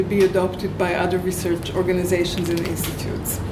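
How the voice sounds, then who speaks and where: Audible room echo and noticeable background noise accompany a woman who talks at a fairly quick pace. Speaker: survivor researcher and activist. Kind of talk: prepared talk. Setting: room with live audience. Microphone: no microphone.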